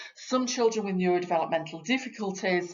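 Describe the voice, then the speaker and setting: A woman with a Yorkshire accent speaks in a fairly low voice. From Yorkshire, northern England. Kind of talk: training talk for parents. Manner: conversational, uses fillers.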